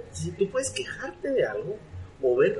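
A man talks at a moderate speed while noticeable background noise is heard. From Guatemala. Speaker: entrepreneurship expert and author. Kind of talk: interview.

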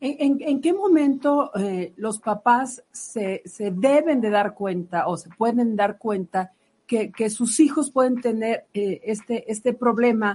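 A woman's fairly high pitch and dark, mellow tone, lively intonation, a very slow pace, and hardly any pauses. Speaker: radio health show co-host. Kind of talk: interview.

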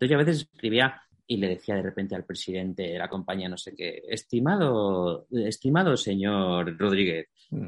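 Here is an unremarkable speaking voice at a moderate pace. The intonation is lively. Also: man, fairly low pitch for a man. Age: 30s. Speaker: writer and journalist. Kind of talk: casual interview chat.

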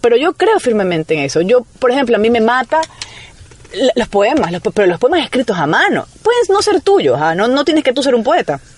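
The pitch swings very widely at a fairly quick pace. Noticeable background noise is present. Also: woman. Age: 30s. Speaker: writer and journalist, radio broadcaster. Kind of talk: radio interview.

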